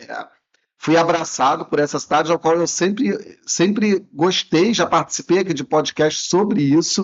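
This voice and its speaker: A man's high-pitched voice at a moderate pace. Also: ordinary pitch variation. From Rio de Janeiro, Brazil. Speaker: professional condo manager. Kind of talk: interview. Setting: studio.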